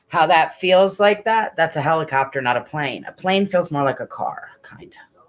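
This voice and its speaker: The speaker uses lively intonation and keeps a moderate pace. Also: woman. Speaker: LGBTQ support group host. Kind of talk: live stream chat. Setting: live stream.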